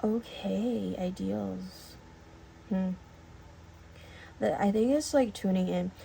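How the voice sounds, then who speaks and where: Mumbling at a very slow pace, a woman speaks with long, frequent pauses over noticeable background noise. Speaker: tarot reader. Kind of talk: tarot reading to camera. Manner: hesitant, many fillers.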